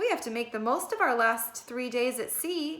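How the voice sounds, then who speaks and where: A woman's put-on character voice, high-pitched with lively intonation. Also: moderate pace. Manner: serious, firm.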